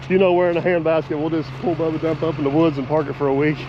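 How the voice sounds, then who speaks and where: Through noticeable background noise, a man talks very fast at a fairly high pitch with fairly even intonation. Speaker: excavator operator. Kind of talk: casual chat.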